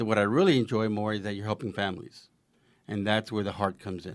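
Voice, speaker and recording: A man with a fairly low voice talks at a very fast speed. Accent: American. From New Jersey. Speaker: home care franchise owner. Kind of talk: interview. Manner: hesitant, with fillers.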